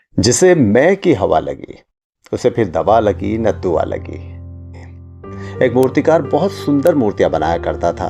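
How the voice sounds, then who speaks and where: A man's medium-pitched voice with very wide pitch swings and long, frequent pauses, music playing in the background. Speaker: radio jockey storyteller. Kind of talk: live FM studio storytelling, motivational story read.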